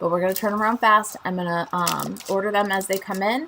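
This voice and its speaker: A woman with a Chicago accent, medium pitch and ordinary pitch variation, over noticeable background noise. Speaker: craft demonstrator and channel host. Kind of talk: live stream tutorial and chat. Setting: live stream on Facebook and YouTube. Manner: casual, chatty with filler ums.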